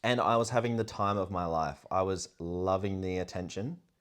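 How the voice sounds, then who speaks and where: A man with an Australian accent, a very deep, low pitch and ordinary pitch variation, talking at a fairly quick pace over a quiet background. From Australia (country South Australia, Port Augusta). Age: 20s. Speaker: content creator and tradesman. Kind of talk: personal vlog storytelling.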